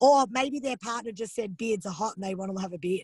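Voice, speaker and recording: A woman speaks in a fairly high, somewhat breathy voice with ordinary pitch variation, the sound dry and close with no echo. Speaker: psychosomatics teacher. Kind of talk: teaching a study group. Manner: fast.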